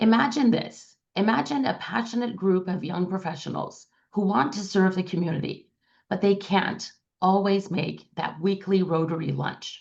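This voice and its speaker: This woman talks at a moderate pace with a medium pitch and ordinary pitch variation. Her voice is somewhat breathy. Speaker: district governor. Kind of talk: presentation. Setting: video call.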